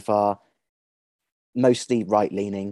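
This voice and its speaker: A man speaks with a dark, mellow tone. The sound is dry and close, with no echo. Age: 30s. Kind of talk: interview.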